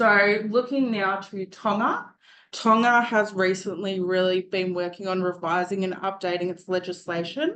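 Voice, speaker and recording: A woman speaks at a moderate pace with a medium pitch and fairly even intonation. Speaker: student presenter. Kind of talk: presentation.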